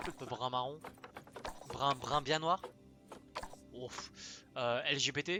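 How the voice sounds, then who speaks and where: Very slow speech broken by long, frequent pauses. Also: man, fairly high pitch for a man, ordinary pitch variation. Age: 20s. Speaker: gaming streamer. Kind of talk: gameplay stream commentary. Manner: casual, hesitant with many fillers.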